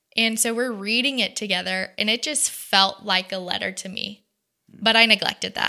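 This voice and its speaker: In an American accent, a woman speaks in a plain, everyday voice at a moderate pace, her fairly high pitch carrying fairly even intonation. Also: very clean recording, silent background. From US South, Georgia (Dalton) and Texas. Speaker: faith-based ministry worker. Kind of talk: casual interview chat. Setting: studio.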